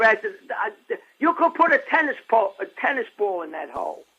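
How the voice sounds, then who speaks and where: A man projects his voice loudly. His pitch is extremely high. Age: 80s+. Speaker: nutritionist. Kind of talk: interview. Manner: halting.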